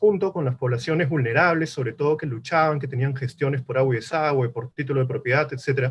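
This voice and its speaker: A man talks very fast in a somewhat breathy voice. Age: 40s. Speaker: politician. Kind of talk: political debate. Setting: virtual debate.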